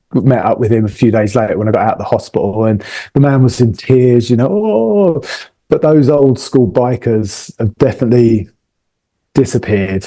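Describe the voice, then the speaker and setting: A man with a southern English accent, a dark, mellow tone, very even loudness and a moderate pace. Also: medium pitch for a man, ordinary pitch variation. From southern England, near London. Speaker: motorcycle traveller. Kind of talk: casual chat.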